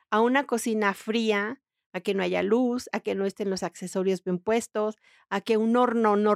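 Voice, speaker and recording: A woman talks at a fairly slow pace in a flat, monotone delivery. The sound is dry and close with no echo, on a very clean recording with a silent background. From Mexico. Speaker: feng shui consultant and interior decorator. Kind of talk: interview.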